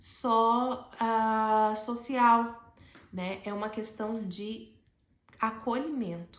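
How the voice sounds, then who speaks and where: A woman's high voice with audible room echo. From Brazil, Alagoas (Maceió). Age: 40s. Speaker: educator sharing personal story. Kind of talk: personal testimony monologue.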